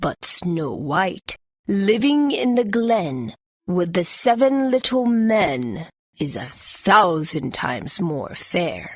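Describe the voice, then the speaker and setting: Put-on character voice with very wide pitch swings. The pace is very slow. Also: female-sounding voice, medium pitch for a woman. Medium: read story. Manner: solemn, archaic.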